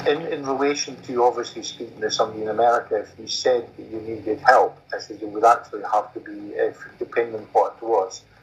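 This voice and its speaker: A man with a Scottish accent at a very fast pace, with hardly any pauses and big swings in loudness. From Scotland. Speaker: common law court representative. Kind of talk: Q&A in online meeting.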